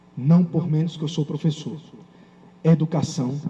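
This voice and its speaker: A man's fairly high voice with a Paraíba accent. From Paraíba, Campina Grande (Brazil). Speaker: lawyer and law professor, keynote speaker. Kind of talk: conference keynote lecture. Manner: animated.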